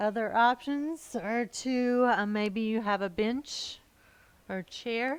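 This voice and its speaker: A woman's fairly high-pitched voice with ordinary pitch variation. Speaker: yoga teacher. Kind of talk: guided relaxation; yoga class instruction. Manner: halting, many fillers; relaxed, slurring enunciation when relaxed.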